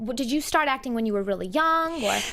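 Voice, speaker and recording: This woman talks with a Boston accent and a high pitch. Her intonation is lively. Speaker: entertainment interviewer. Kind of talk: interview. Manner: talkative.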